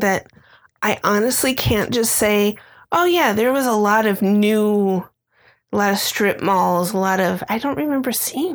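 A woman speaks at a moderate pace in an ordinary speaking voice, fairly high in pitch with lively intonation. The recording is very clean, the background silent. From Illinois, Chicago area. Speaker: podcast co-host. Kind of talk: casual chat.

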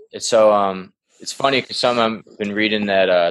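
Speaking at a fairly quick pace, a man keeps a monotone, flat intonation at a fairly low pitch. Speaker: band member, musician. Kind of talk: casual chat, podcast interview.

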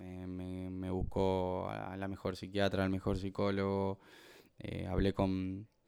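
A man's very deep, low voice at a very slow pace, in a very clean recording with a silent background. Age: 30s. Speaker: professional footballer. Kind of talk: testimony. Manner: halting, many repetitions.

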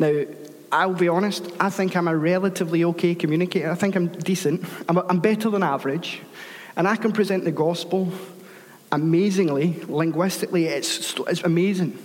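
A man talks at a fairly quick pace with high pitch, fairly even intonation and very even loudness. Audible room echo surrounds the voice. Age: 30s. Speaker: guest preacher. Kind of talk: sermon.

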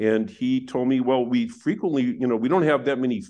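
Here is an ordinary speaking voice from a man with an American accent. His intonation is lively. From US Midwest, Wisconsin. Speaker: economics professor. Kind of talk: interview.

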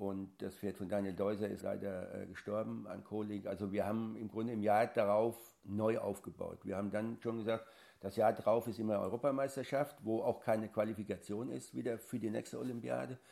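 A man with a dark, mellow tone and fairly low pitch speaks at a fairly quick pace with ordinary pitch variation. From Lower Franconia, Bavaria (near Aschaffenburg). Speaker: national show jumping coach. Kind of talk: interview.

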